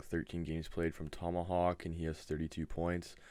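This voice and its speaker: This man's voice is very deep and low in pitch, and he is soft-spoken. The recording is very clean with a silent background. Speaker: gaming league host. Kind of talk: casual video update. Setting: webcam at home. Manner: monotone.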